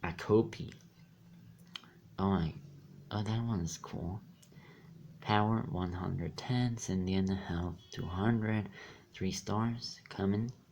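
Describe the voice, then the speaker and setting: A quiet man's voice, fairly low in pitch, at a very slow pace with long, frequent pauses. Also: ordinary pitch variation. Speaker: card pack opening youtuber. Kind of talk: casual pack opening commentary. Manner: quiet, low-volume talk; animated, exclamatory.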